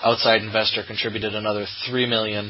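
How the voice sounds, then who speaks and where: Intonation stays monotone and flat. Noticeable background noise sits behind the voice. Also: man. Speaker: podcast host. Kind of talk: casual interview.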